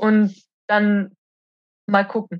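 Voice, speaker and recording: A woman talks with a fairly high pitch. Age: 20s. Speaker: roofer. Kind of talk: casual interview. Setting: at home.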